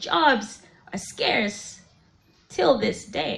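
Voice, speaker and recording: Noticeable background noise under a woman speaking in very wide pitch swings. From Malawi. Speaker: poet. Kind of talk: spoken word poetry performance. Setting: live event.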